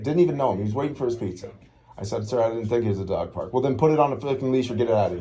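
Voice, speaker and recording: Audible room echo surrounds a man speaking at a very fast pace and medium pitch. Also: ordinary pitch variation. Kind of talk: confrontational encounter. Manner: loud.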